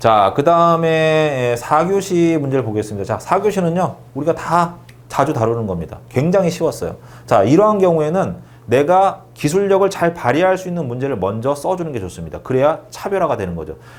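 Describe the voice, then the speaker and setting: Here a man talks with lively intonation and a fairly high pitch. Audible room echo is present. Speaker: exam prep instructor. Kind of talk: lecture. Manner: fast.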